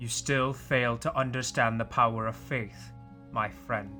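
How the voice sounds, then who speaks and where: Someone performs a put-on character voice at a fairly slow pace while clear music plays in the background. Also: man. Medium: read story. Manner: solemn.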